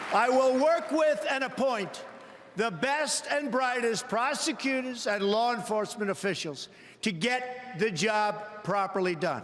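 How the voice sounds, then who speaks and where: Over noticeable background noise, a man with a New York accent and an extremely high pitch speaks at a fairly slow pace, his loudness very even and his intonation lively. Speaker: politician. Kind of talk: political convention speech. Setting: large convention hall.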